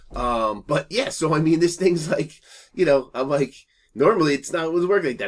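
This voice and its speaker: A man at a very fast pace, with vocal fry. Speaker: YouTuber. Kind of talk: casual storytelling vlog. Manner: animated.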